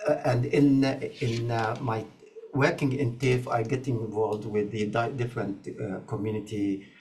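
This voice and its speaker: A man's medium-pitched voice at a moderate pace, fairly even in intonation, with audible room echo and noticeable background noise. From Egypt. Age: 80s+. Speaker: community health ambassador. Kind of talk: interview. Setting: online video conference. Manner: halting, many fillers.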